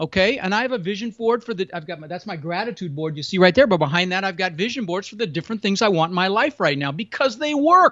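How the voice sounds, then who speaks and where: A man's high, animated voice at a very fast clip, lively in intonation, big swings in loudness, hardly any pauses. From immigrated to US as a child from Europe. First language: not English. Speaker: real estate investor and podcast host. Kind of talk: podcast interview.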